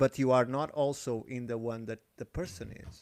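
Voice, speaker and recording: Speaking with a non-native accent, a man talks at a fairly slow pace with ordinary pitch variation. The recording is very clean, dry and close, with a silent background and no echo. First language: not English. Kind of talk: heated debate. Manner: halting.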